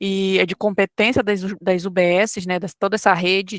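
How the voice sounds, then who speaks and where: A woman speaks in a plain, everyday voice at a moderate pace. Her intonation is fairly even, and the sound is dry and close with no echo. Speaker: online course teacher. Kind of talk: lecture. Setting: live online class.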